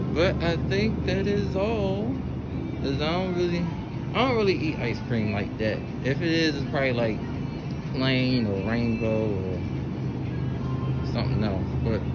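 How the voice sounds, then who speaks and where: With music in the background, the talking proceeds at a fairly slow pace. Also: man. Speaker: shopper vlogger. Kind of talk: casual vlog chat. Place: shop. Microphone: phone near.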